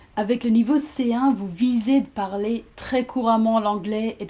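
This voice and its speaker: In an English accent, a woman talks at a fairly slow pace with a fairly high pitch and a dark, mellow tone. Her voice is somewhat breathy, and the recording is very clean with a silent background. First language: English (speaking French). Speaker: language teacher. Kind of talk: tutorial.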